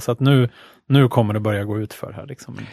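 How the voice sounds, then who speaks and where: This is an ordinary speaking voice with ordinary pitch variation. The sound is dry and close, with no echo. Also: man. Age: young. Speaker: podcast co-host. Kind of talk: casual chat.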